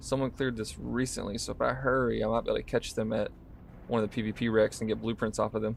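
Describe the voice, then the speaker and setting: A man speaking at a very fast pace against a quiet background. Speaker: gaming streamer. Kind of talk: live gameplay commentary. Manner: casual, talking while playing.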